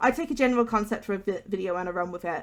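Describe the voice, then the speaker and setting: Speaking very fast with a West Midlands accent, a woman uses a medium pitch and ordinary pitch variation on a very clean recording with a silent background. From England, West Midlands. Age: 20s. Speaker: YouTuber, gaming let's player. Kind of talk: casual gameplay commentary. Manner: unscripted, hesitant with fillers.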